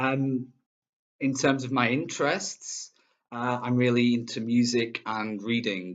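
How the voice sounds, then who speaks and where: Here a man speaks with a Manchester accent. His pitch is medium, with ordinary variation. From northern England, Manchester. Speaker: English teacher. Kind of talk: self-introduction video. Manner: hesitant, many fillers.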